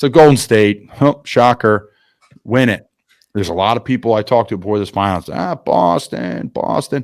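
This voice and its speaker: A man with a Philadelphia accent talks at a moderate pace, his fairly low pitch carried by lively intonation. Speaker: podcast host. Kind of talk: casual chat. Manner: animated.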